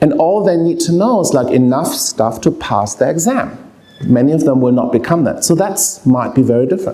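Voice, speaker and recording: Spoken with a German accent at a fairly quick pace, this voice has very wide pitch swings and very even loudness, with audible room echo and noticeable background noise. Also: man, high pitch for a man. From Germany. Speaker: professor of pediatric palliative care. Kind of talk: lecture. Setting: lecture hall with audience.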